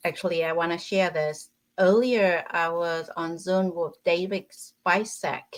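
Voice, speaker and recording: In a very clean recording with a silent background, a woman speaks at a very slow pace in a fairly low pitch with fairly even intonation. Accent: Vietnamese. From Vietnam. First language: Vietnamese. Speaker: relationship coach and healer. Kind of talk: podcast interview.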